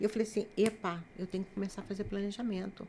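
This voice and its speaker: With a dark, mellow tone, a woman speaks at medium pitch using fairly even intonation. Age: 60s. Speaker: writer and missionary. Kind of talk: casual chat.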